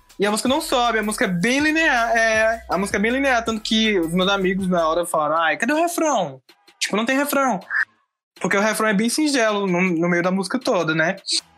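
Music plays in the background as the speaker talks at a fairly quick pace with lively intonation. The loudness stays very even. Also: man, high pitch for a man. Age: 20s. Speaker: film student. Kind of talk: casual chat.

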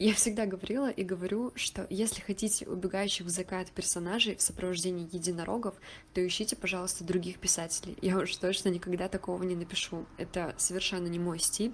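This woman talks very fast. Her pitch sits in the middle range. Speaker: writer and surrealist photographer. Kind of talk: interview.

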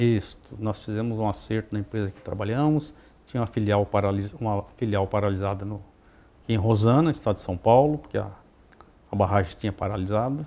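A man speaks fairly quickly in a plain, everyday voice. His pitch sits fairly low, with ordinary pitch variation. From Paraná, Brazil (Terra Rica). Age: 60s. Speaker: mayor. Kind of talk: interview. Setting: at the guest's home.

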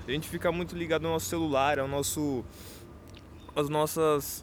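A man is speaking. His pace is moderate. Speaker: podcaster. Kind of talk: solo monologue. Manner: casual, hesitant with repetitions.

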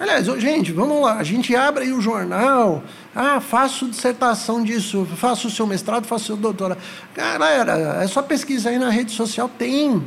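Noticeable background noise sits under this recording. A man speaks at a moderate pace with an extremely high pitch. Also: ordinary pitch variation. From São Paulo city, Brazil. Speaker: psychologist. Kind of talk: casual interview.

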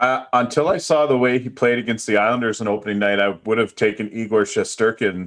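This man has a plain, everyday voice at a medium pitch with ordinary pitch variation. He talks at a fairly quick pace with hardly any pauses. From Atlantic Canada. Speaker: sports betting analyst. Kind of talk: casual chat.

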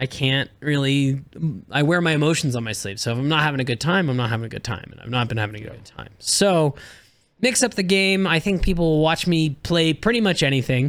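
In a very clean recording with a silent background, a man with a plain, everyday voice and an American accent talks at a fairly quick pace, his fairly high pitch carrying lively intonation and big swings in loudness. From US. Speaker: streamer and content creator. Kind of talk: casual chat.

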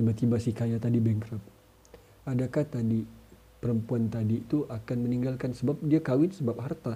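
A man with a medium pitch speaks at a moderate pace with fairly even intonation, his tone dark and mellow and somewhat breathy. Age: 30s. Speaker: podcaster. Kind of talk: casual monologue.

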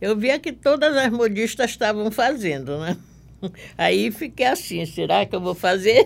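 On a very clean recording with a silent background, a woman with vocal fry speaks at a fairly slow pace and fairly high pitch, with very wide pitch swings. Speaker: dressmaker and embroiderer. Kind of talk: interview.

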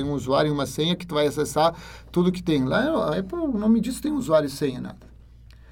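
A somewhat breathy man with a Spanish accent and a fairly high pitch, talking at a fairly quick pace. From Ecuador. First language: Spanish (speaking Portuguese). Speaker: university lecturer. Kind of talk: interview.

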